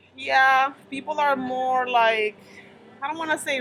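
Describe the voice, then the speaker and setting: A woman with a Spanish accent speaks in a high pitch at a very slow pace. Noticeable background noise is present. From Dominican Republic. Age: 30s. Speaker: stand-up comedian. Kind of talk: casual interview chat. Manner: animated.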